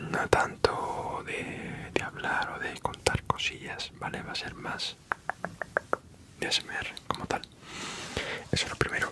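A man whispers fairly slowly, breaking his words with long, frequent pauses. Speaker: ASMR creator. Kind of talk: ASMR video. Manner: soft-spoken, whispered. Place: home room. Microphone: studio mic.

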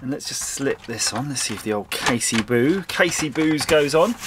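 Noticeable background noise fills the space as a man talks fairly slowly. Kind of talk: tutorial. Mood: cheerful, pleased. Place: workshop.

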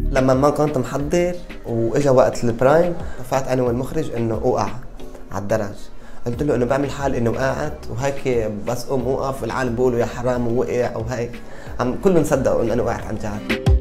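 Over clear music in the background, the voice moves at a fairly quick pace with ordinary pitch variation. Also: man, medium pitch for a man. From Baalbek, Lebanon. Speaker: singer. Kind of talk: interview answer. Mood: cheerful, smiling. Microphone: lapel.

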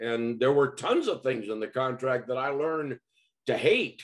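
Against a quiet background, a man is speaking. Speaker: sports broadcaster and professor. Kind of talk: interview answer. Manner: casual, conversational. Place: home room. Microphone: video call.

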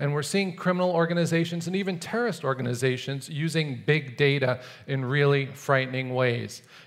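The voice moves at a moderate pace with ordinary pitch variation against a quiet background. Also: man. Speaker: conference speaker. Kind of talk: prepared talk. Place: stage. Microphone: headset.

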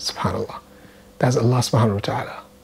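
A man speaks with a Nigerian accent. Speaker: Islamic scholar and lecturer. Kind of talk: religious reminder talk. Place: home room. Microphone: lapel.

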